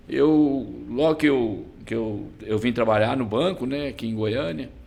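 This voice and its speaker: At a fairly slow pace and medium pitch, a man speaks with ordinary pitch variation amid audible room echo. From Brazil, Goiás (Goianésia). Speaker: business association president. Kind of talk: podcast interview.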